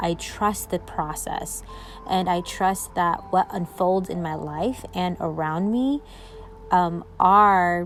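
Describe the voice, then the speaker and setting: The woman talks very slowly. Background music accompanies her. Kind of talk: personal voice memo, spiritual reflection. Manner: hesitant, with pauses and stumbles.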